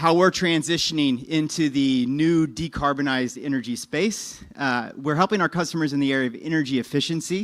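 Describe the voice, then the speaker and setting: A man talks at a fairly quick pace with a fairly high pitch and ordinary pitch variation. The recording is very clean, with a silent background. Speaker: business development presenter for a technology licensor. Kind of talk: conference presentation. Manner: fast.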